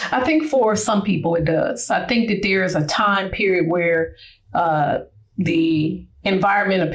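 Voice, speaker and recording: A woman speaks with an American accent, vocal fry and a medium pitch. Her pace is fairly slow and her intonation is lively. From US Midwest, Cleveland Ohio. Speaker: retired Marine Corps chief warrant officer. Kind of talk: interview.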